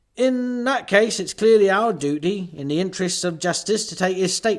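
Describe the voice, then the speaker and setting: Putting on a robotic character voice, a man speaks at a moderate pace in a high pitch with ordinary pitch variation. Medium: read story. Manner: dull, mechanical.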